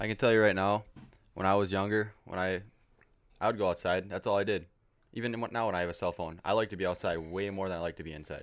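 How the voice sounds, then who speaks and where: In a very clean recording with a silent background, a man talks at a very fast pace with a fairly low pitch and fairly even intonation. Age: 20s. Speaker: amateur fisherman. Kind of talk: casual chat.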